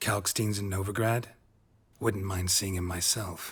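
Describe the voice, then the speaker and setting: In a very clean recording with a silent background, a man uses a put-on character voice with a deadpan tone, monotone, flat intonation, fairly low pitch, and a moderate pace. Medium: video game. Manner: terse, deadpan.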